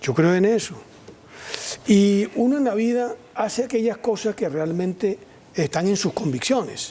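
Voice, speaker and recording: Over noticeable background noise, a man talks at a fairly slow pace in a high pitch with lively intonation, very even loudness, and long, frequent pauses. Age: 60s. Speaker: politician and columnist. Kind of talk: TV news interview.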